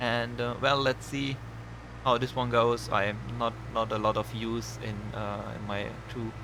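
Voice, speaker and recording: A man with a non-native accent at a fairly slow pace. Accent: non-native English, audible. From Germany. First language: German. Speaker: gaming YouTuber. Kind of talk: gameplay commentary. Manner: halting, many fillers; relaxed, casual.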